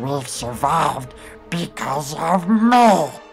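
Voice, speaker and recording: Using a put-on character voice, a man speaks at a very slow pace with faint music in the background. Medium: dub. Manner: pleading, excitable.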